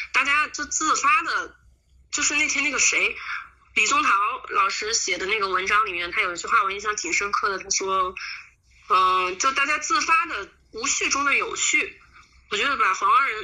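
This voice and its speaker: Over noticeable background noise, a woman with a high pitch and very wide pitch swings talks at a moderate pace with long, frequent pauses. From Huanggang, Hubei, China. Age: 20s. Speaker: volunteer. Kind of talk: interview.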